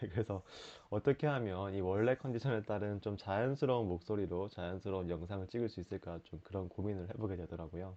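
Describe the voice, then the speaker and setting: A man speaks at a very fast pace. His fairly low pitch shows ordinary pitch variation. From Busan, South Korea. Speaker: writer, lawyer and culture critic. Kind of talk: casual talk to camera.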